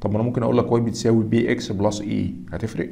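A man with an Egyptian accent speaks at a moderate pace in a fairly low pitch. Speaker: accounting exam instructor. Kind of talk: lecture. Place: home room.

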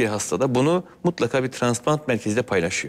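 Very wide pitch swings mark this man's speech. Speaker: transplant surgeon. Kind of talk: TV health interview. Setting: studio. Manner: formal. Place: studio. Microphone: lapel.

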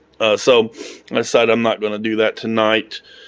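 A man talks at a fairly quick clip in a fairly low pitch, his intonation flat and monotone against a quiet background. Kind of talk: casual vlog chat. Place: garage. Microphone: phone near.

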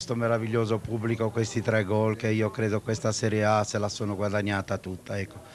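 A man talks at a fairly quick pace with hardly any pauses, his fairly low voice flat and monotone. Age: 60s. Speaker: football club president. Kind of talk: interview answer. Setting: outdoors.

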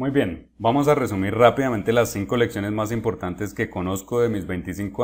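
Over a silent background on a very clean recording, a man talks at a fairly quick pace in a normal speaking voice with fairly low pitch. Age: 30s. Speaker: chess grandmaster and coach. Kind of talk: tutorial. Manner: direct address to viewer.

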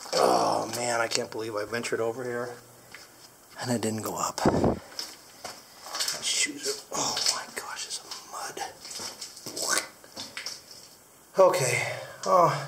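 Taking long, frequent pauses, a man talks at a very slow pace against noticeable background noise. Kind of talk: casual vlog chat. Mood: excited, mildly disappointed. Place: tunnel cave. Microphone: phone near.

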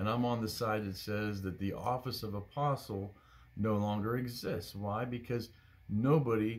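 Moderate pacing from a man, his intonation fairly even. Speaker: bible study teacher. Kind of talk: bible study teaching. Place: home room. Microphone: phone near.

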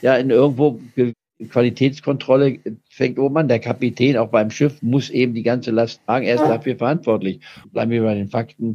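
At a fairly quick pace, a man speaks at a medium pitch in a dark, mellow tone with fairly even intonation. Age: 80s+. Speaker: stock market analyst. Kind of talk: interview answer.

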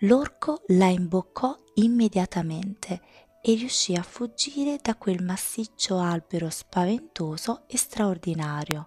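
At a very slow pace, a woman speaks in a soothing, gentle tone, somewhat breathy and medium in pitch, with lively intonation and a dry, close sound with no echo. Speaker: ASMR storyteller reading her own tales. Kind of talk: bedtime story reading aloud, ASMR style. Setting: home recording, close-mic ASMR. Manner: slow, soft-spoken, soothing; gentle, dreamy, measured storytelling pace.

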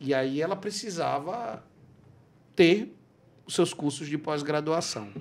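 A man's fairly high voice with lively intonation, very slow pace and long, frequent pauses. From Brazil. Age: 40s. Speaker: podcast host. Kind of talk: interview. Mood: warm, friendly. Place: studio. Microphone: studio mic.

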